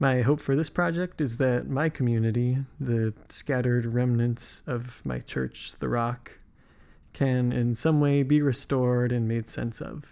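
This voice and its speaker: With an American accent, a man speaks fairly slowly in a medium pitch with ordinary variation and a dark, mellow tone. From US West (Nevada, then California). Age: 20s. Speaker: podcast host. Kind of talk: scripted narration; casual interview conversation.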